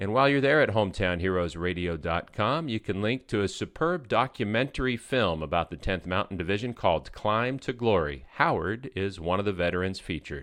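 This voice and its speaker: A man with an unremarkable speaking voice talks at a fairly quick pace and a fairly low pitch, with hardly any pauses. His intonation is lively, and the background is quiet. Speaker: radio host. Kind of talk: interview.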